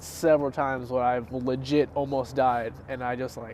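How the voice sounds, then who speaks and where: Ordinary pitch variation in a man's voice, medium in pitch. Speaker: podcast co-host. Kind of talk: casual chat. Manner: quiet.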